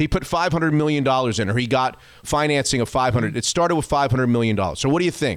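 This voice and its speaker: Using an unremarkable speaking voice, a man talks at a fairly quick pace and medium pitch, with ordinary pitch variation and very even loudness. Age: 50s. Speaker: sports radio podcast host. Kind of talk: casual chat.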